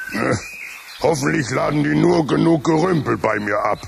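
A man puts on a character voice at a medium pitch and moderate pace. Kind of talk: radio play for children.

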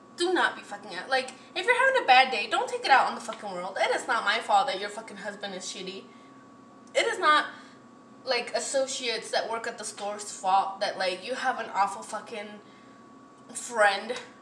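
A woman with a fairly high pitch talks at a fairly quick pace, with ordinary pitch variation and big swings in loudness. Audible room echo and light background noise are present. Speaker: vlogger. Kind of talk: casual storytime vlog rant. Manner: animated. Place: kitchen. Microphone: phone near.

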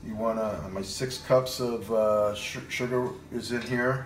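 In a room with audible echo and light background noise, a man speaks with fairly even intonation. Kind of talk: tutorial. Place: kitchen. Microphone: phone near.

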